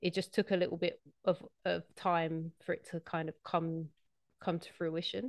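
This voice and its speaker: A woman in a South East London accent, fairly low in pitch with fairly even intonation, at a moderate pace, on a very clean, silent-background recording with dry, close sound and no echo. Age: 30s. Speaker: football coach and scout. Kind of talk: casual chat.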